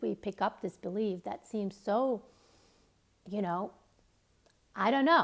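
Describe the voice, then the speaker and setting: Here a woman talks in a Finnish accent. Her pitch is medium. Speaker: author and self-help coach. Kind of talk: motivational talk to camera. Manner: halting, with fillers.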